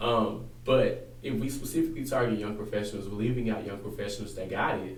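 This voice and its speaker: Noticeable background noise sits beneath speech delivered at a fairly quick pace. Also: man, fairly low pitch for a man, ordinary pitch variation. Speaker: political candidate. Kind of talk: interview answer.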